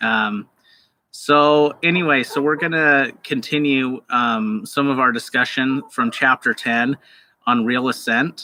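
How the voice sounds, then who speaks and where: Very slow in pace, a man speaks with very even loudness. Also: medium pitch for a man, ordinary pitch variation. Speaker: university lecturer. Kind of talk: online lecture. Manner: hesitant, many fillers.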